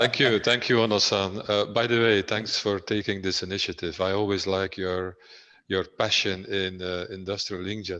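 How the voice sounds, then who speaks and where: A man speaks at a moderate pace with a fairly low pitch and a bright, sharp tone. His intonation is monotone and flat, and the background is quiet. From Belgium. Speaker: business executive. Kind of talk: business webinar presentation. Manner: halting.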